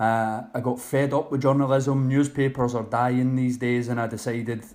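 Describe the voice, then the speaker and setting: A man talks with a Scottish accent. His intonation stays monotone and flat. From Scotland, Loch Lomond. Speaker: online personal trainer. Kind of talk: podcast interview.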